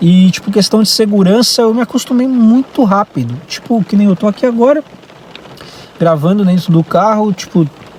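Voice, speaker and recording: Recorded dry and close with no echo, a man with a high pitch speaks at a moderate pace amid noticeable background noise. His loudness stays very even, and his pitch variation is ordinary. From Brazil. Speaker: vlogger. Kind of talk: casual vlog monologue. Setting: in a car. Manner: hesitant, many fillers.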